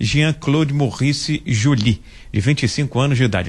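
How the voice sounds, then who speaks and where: A man's medium-pitched, somewhat breathy voice at a moderate pace, with lively intonation. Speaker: radio reporter. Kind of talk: news report.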